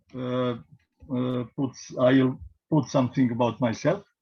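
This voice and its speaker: A very slow pace with a Serbian accent. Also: man. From Serbia, Belgrade. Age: 50s. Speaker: priest and genealogy presenter. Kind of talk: presentation. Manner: halting, many fillers.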